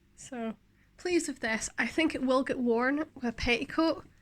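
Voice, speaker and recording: In a very clean recording with a silent background, a woman uses a raised, projected voice with a bright, sharp tone, high in pitch, with ordinary pitch variation and a fairly slow pace. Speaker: sewing vlogger. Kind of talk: casual chat.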